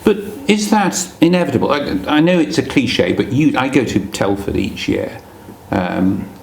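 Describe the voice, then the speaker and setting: A man's voice, pitched fairly high, leaps across very wide pitch swings over noticeable background noise. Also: moderate pace. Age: 60s. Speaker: magazine presenter interviewing a modeller. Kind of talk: casual interview. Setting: at the guest's home.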